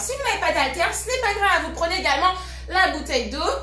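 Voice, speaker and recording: Lively intonation marks a raised, projected voice heard with audible room echo. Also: woman. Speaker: fitness coach. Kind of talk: live workout class. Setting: live stream with music.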